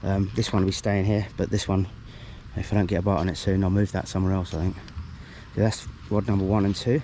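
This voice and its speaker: Speech with a British accent comes at a very fast pace, broken by long, frequent pauses. Intonation is fairly even and loudness very even. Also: man, fairly low pitch for a man. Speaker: angler vlogger. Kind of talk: casual vlog narration. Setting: outdoors at a fishing lake. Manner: mumbling.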